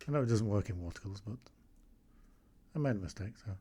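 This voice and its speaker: With an English accent, a man speaks at a medium pitch in a dark, mellow, somewhat breathy tone with lively intonation. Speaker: amateur watercolour painter. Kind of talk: painting tutorial with running commentary. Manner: casual, thinking aloud.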